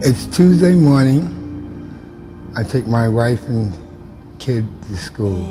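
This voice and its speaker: With music in the background, a man speaks at a very slow pace, his pitch swinging very widely between long, frequent pauses. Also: medium pitch for a man. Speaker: former World Trade Center worker, volunteer memorial keeper. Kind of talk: interview answer.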